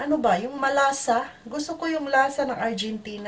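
A woman's moderately paced speech with light background noise. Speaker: vlogger. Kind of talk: casual vlog chat. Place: home room. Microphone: phone near.

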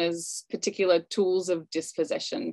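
A woman speaks in an Australian accent. She talks at a fairly slow pace. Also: quiet background. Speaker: anthropology professor. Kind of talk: panel presentation. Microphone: video call.

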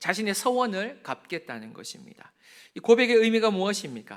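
A man speaks in a raised, projected voice with a bright, sharp tone. His intonation is lively and his pace moderate. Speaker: pastor. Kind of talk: sermon. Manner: gets loud when preaching.

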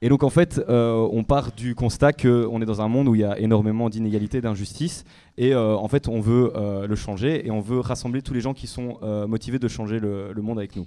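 A man's dark, mellow, medium-pitched voice at a fairly quick pace, with fairly even intonation and hardly any pauses. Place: hall. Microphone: handheld.

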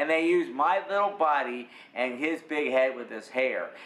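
A man's speech, with ordinary pitch variation, carries audible room echo. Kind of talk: interview answer. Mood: upbeat, proud.

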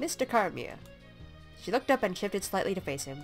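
A woman's voice with very wide pitch swings over music in the background. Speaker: let's play gamer. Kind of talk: casual game commentary with text read-aloud.

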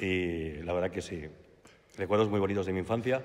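A man's very deep, low voice at a moderate pace. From Valencia, Spain; Spain. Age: 50s. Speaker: speaker giving a religious testimony; speaker. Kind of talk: testimony. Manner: halting, with repetitions. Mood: warm, smiling, reminiscing. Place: church. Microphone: podium.

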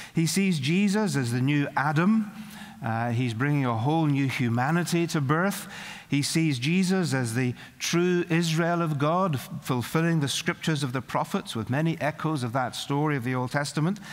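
A man speaks with a Northern Irish accent at a moderate pace. His pitch is fairly high, with ordinary variation. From Northern Ireland. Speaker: preacher. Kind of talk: sermon. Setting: college chapel service. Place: hall. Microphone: podium.

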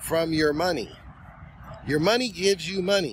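At a moderate pace, a man talks in a high pitch, the sound dry with no echo and light background noise behind him. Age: 50s. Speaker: finance YouTuber. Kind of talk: casual monologue to camera. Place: open country. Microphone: phone near.

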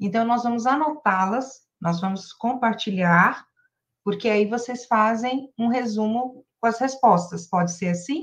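Against a quiet background, a woman speaks fairly slowly in a fairly high pitch with ordinary pitch variation. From Brazil. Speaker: livestream moderator. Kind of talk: casual chat. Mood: warm, enthusiastic. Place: home room. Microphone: webcam.

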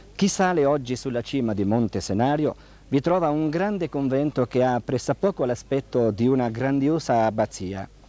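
An unremarkable speaking voice moves at a moderate pace with very even loudness, the sound dry and close with no echo. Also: man, medium pitch for a man, lively intonation. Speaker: TV interviewer and friar. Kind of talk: 1979 TV interview, formal presenter. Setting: studio or convent, TV broadcast. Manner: formal, courteous, measured.

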